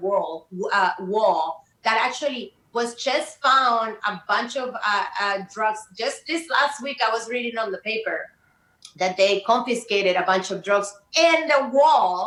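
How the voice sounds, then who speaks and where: Lively intonation marks this woman's speech, delivered at a fairly slow pace. She has a fairly high pitch and a Spanish accent. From Colombia. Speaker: community organizer. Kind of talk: heated debate. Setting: studio.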